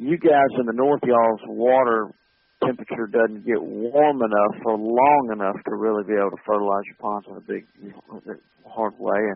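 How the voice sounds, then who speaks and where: A man talks with a Southern US accent. His loudness swings a lot. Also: medium pitch for a man, ordinary pitch variation, moderate pace. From US South, Montgomery, Alabama. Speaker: wildlife habitat manager. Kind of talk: interview.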